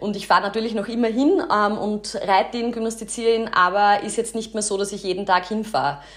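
Over noticeable background noise, a woman with a Styrian accent talks at a very fast pace, her fairly high pitch showing ordinary pitch variation. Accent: Styrian Austrian German, slips into dialect. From Austria, Styria (Kapfenberg). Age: 30s. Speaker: podcast host. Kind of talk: casual podcast monologue.

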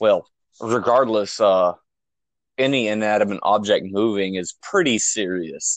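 A man speaks fairly slowly in an unremarkable speaking voice. His pitch is fairly low with ordinary variation, and the background is quiet. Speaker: paranormal investigator team member. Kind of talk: casual chat.

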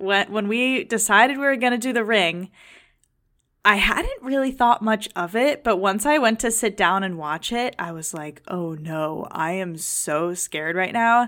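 Her tone is bright and sharp, her intonation lively. The woman, medium in pitch, talks at a fairly slow pace. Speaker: podcast co-host. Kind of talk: casual chat. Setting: studio.

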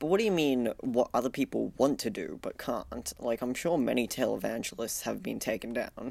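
A man with an Australian accent talks with hardly any pauses. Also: moderate pace. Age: 20s. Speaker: podcast co-host. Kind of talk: casual chat; scripted narration.

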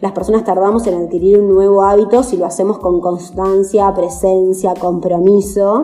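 A woman speaks at a fairly slow pace with a medium pitch. Noticeable background noise sits behind her. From Argentina, Chascomús, Buenos Aires province. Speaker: vegan traveler and activist. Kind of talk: casual interview.

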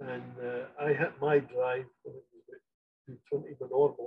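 A man speaks with a Scottish accent at a fairly high pitch. His voice is somewhat breathy. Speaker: golf grip inventor. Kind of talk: interview.

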